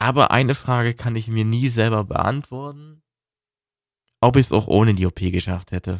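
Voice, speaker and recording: On a very clean recording with a silent background, a man of medium pitch talks in a calm, relaxed tone at a moderate pace, with ordinary pitch variation and long, frequent pauses. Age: 20s. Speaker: podcaster on weight loss. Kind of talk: personal monologue.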